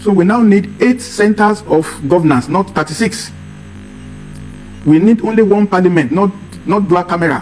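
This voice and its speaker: A man's high-pitched voice at a moderate pace, very even in loudness, with ordinary pitch variation, long, frequent pauses and music in the background. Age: 70s. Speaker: political commentator. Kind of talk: interview.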